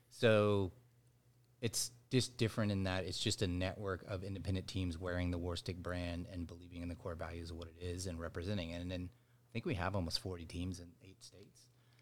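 A man with an American accent speaks at a fairly quick pace in a very deep, low voice. His loudness swings widely. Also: fairly even intonation. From Dallas, Texas. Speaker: baseball brand co-founder, former pro baseball player. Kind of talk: casual interview.

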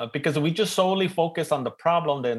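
The speaker talks at a fairly quick pace in an East LA accent. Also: man. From East Los Angeles, US. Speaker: panel moderator and professor. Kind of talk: panel moderation, casual and jokey. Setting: video call.

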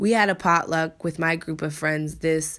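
A woman in a normal speaking voice, fairly low in pitch, on a very clean recording with a silent background. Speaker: podcast host. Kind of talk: casual podcast chat. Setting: living abroad in Korea.

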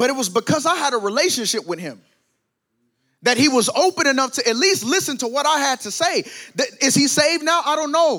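A man with an American accent uses a raised, projected voice at an extremely high pitch and a fairly quick pace. His tone is bright, sharp and animated, with lively intonation. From US South. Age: 20s. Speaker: preacher. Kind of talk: sermon.

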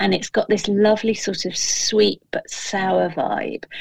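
A woman with a British accent at a fairly slow pace, in a dry, close sound with no echo. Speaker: food writer and kitchen gardener. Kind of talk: casual chat.

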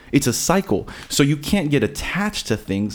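A man with an American accent, a fairly high pitch, vocal fry, a moderate pace and very wide pitch swings. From South Florida and Texas. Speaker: podcast guest. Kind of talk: casual chat.

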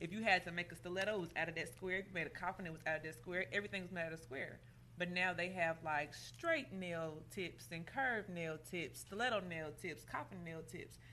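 A woman speaks at a fairly quick clip with hardly any pauses, in an American accent. Her fairly low voice has vocal fry and a bright, sharp tone. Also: ordinary pitch variation. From Indianapolis, Indiana. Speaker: nail salon owner. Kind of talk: casual interview.

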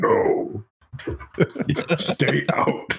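A man puts on a raspy character voice. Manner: spooky, commanding.

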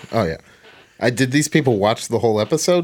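Lively intonation and a fairly quick pace mark a man's delivery in a plain, everyday voice. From Portland, Oregon. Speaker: podcast co-host. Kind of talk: casual chat.

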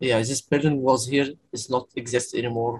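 With an Arabic accent, a man talks at a moderate pace in a medium-pitched, somewhat breathy voice with fairly even intonation, the sound dry and close with no echo. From Egypt, Cairo. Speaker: documentary photographer. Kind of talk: casual chat. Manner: halting.

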